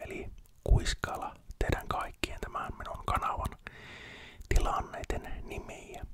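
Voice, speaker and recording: A man whispers at a very slow pace with long, frequent pauses over noticeable background noise. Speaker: ASMR creator. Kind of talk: ASMR whisper talk to viewers. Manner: whispered.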